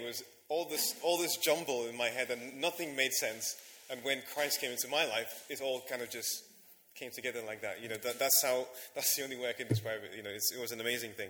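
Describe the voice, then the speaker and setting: A man speaks at a fairly quick pace in a bright, sharp tone. His pitch is medium, with ordinary variation. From Nigeria, moved to Leeds at 15. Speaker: guest preacher. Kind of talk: sermon.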